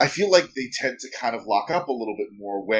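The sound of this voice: An unforced reading voice carries the clip.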